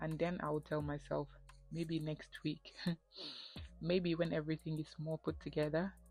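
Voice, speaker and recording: Over music in the background, a woman speaks at a moderate pace with a very deep, low pitch and monotone, flat intonation. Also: long, frequent pauses. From The Gambia, West Africa. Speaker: graduate student and lifestyle vlogger. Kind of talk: personal story talk to camera. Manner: candid, reflective.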